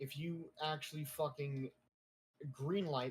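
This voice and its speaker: A somewhat breathy male voice with fairly even intonation. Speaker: gaming streamer. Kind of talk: casual chat. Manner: whispering.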